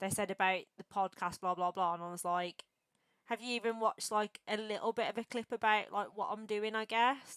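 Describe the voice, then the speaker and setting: In an English Midlands accent, a woman talks with a fairly high pitch and fairly even intonation in a dry, close sound with no echo. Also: fairly quick pace. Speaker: streamer and podcast host. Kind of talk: casual interview chat. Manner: casual, filler-heavy.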